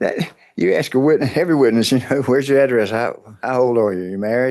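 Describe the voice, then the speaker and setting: A man with a medium pitch talks at a very fast pace, with ordinary pitch variation. The background is quiet. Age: 70s. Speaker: lawyer representing himself at trial. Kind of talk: courtroom cross-examination. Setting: courtroom.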